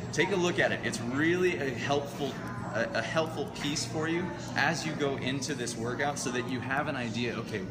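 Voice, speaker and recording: Clear music plays in the background as the speech goes at a moderate pace. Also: man, ordinary pitch variation. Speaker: rowing coach. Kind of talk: tutorial. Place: gym. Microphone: camera far.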